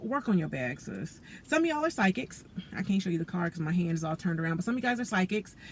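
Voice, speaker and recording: Very fast and somewhat breathy, a woman at medium pitch talks with very wide pitch swings. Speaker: tarot reader. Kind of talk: tarot reading monologue. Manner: casual, conversational with many fillers; self-described stuttering.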